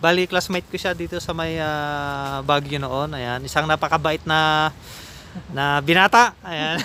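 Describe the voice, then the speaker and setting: A man with a fairly high pitch talks at a fairly slow pace with fairly even intonation. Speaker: vlogger. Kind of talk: casual vlog narration. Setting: outdoors. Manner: laughs often.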